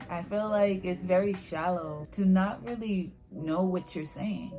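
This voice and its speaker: Over music in the background, the speech runs at a fairly slow pace with ordinary pitch variation. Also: woman. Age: 20s. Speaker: anime YouTuber. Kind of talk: casual talk to camera.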